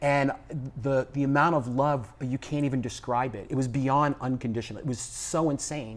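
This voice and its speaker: A man's voice sits at a medium pitch, his intonation fairly even as he talks at a moderate pace. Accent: New York. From New York City, the Bronx. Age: 60s. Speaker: business executive and spiritual teacher. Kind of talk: casual interview chat. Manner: loud.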